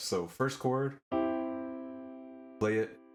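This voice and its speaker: With music in the background, a man's pitch swings very widely. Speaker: music producer and piano teacher. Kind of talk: tutorial talk to camera.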